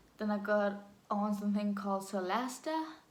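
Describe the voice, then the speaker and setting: A woman speaks at a moderate pace with a Danish accent. Noticeable background noise and audible room echo surround her voice. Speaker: vlogger. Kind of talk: personal story vlog. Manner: halting.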